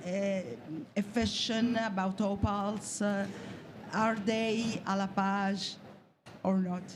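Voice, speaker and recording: Speech comes at a very slow pace, with audible room echo around it. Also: woman. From Italy. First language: Italian. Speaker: journalist. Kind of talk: press conference question. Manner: halting, many fillers.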